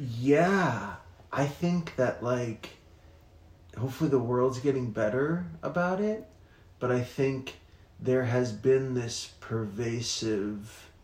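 A man speaks at a very slow pace with long, frequent pauses, in a somewhat breathy voice. His medium pitch shows ordinary variation, and audible room echo is present. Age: 30s. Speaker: podcast host. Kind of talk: casual chat.

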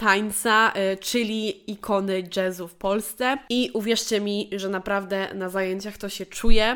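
A woman speaks in an unremarkable speaking voice at medium pitch. Her pace is fairly slow and her intonation fairly even. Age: 20s. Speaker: podcast host, dance coach. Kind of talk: solo monologue, year review.

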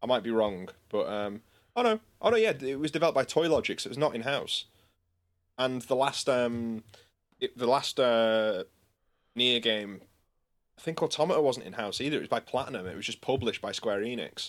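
Someone with a northern English accent talks at a fairly quick pace, with ordinary pitch variation. There are long, frequent pauses, and the recording is very clean with a silent background. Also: man, medium pitch for a man. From northern England. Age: 20s. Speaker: musician and podcast co-host. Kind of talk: casual chat.

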